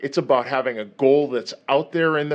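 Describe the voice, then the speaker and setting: In a quiet background, a man with an ordinary speaking voice talks at a fairly high pitch with fairly even intonation. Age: 50s. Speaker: vlogger. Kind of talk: motivational vlog monologue.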